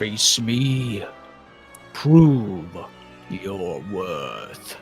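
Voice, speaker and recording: Clear music can be heard in the background. Over it, someone performs a put-on character voice. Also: man, fairly low pitch for a man. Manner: booming.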